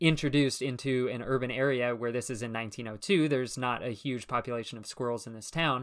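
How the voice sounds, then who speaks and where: Recorded very cleanly against a silent background, a man with an unremarkable speaking voice talks fairly quickly at medium pitch with fairly even intonation. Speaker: podcast host and naturalist educator. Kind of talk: educational podcast chat.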